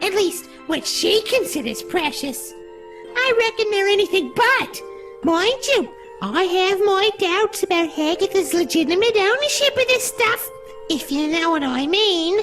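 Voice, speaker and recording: Over clear music in the background, a female-sounding put-on character voice speaks at a moderate pace in an extremely high pitch. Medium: video game. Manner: blunt, folksy, sardonic.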